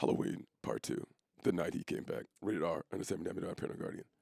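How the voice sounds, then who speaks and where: Here a man puts on a character voice. He speaks at a very fast pace. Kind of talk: dramatic. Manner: ominous.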